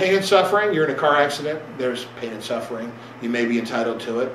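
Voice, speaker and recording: Over noticeable background noise and audible room echo, a man speaks fairly quickly with lively intonation. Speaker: attorney presenting a seminar. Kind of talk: seminar lecture. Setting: seminar room with audience. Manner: fast; halting, many repetitions and fillers.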